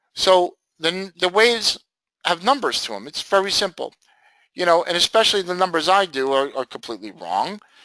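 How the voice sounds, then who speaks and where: Loud and bright, a man with a sharp, high-pitched voice and lively intonation speaks at a fairly quick pace on a very clean recording with a silent background and a dry, close sound with no echo. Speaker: forex trading teacher. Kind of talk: trading lesson. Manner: casual, animated.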